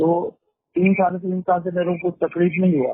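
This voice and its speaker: A man is speaking. His voice is high-pitched. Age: 60s. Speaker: caller. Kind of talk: phone call.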